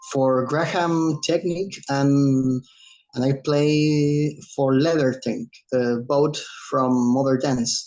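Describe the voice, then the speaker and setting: A man with a Chilean accent speaks at a very slow pace in a fairly high pitch, keeping his intonation fairly even. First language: Spanish. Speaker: drummer and dance accompanist. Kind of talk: self-introduction in meeting. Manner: halting, hesitant.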